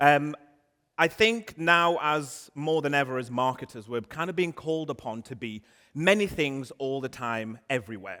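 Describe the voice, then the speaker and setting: In a very clean recording with a silent background, a man with a northern English accent talks at a fairly high pitch with lively intonation. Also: moderate pace. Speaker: marketing conference speaker. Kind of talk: conference talk. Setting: stage with audience. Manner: animated.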